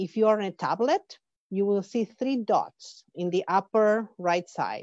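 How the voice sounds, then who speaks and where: Speaking very slowly with an Argentine accent, a woman has a medium pitch and ordinary pitch variation, recorded with a dry, close sound and no echo. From Argentina. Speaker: professor and conference organizer. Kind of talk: conference welcome speech. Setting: webinar. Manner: halting, with fillers and restarts.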